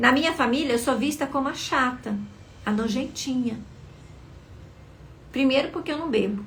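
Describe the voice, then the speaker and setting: A soft-spoken woman's high-pitched voice at a moderate pace, with ordinary pitch variation and audible room echo. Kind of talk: live motivational talk. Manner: expressive.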